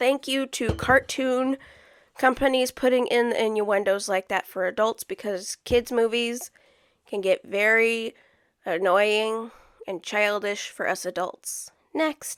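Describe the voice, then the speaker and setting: On a very clean recording with a silent background, a woman speaks at a very slow pace in a fairly high voice with ordinary pitch variation. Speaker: reaction youtuber. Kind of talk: reaction commentary. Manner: loud; animated.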